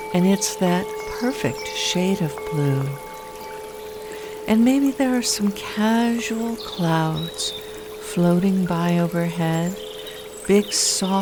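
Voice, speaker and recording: The speech comes at a very slow pace over noticeable background noise. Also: woman. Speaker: hypnotherapist. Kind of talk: guided hypnosis. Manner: slow, soft-spoken.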